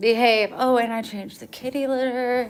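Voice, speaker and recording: A woman with an American accent speaks in a fairly high pitch. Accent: country twang. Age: 40s. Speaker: livestreamer. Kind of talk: casual chat.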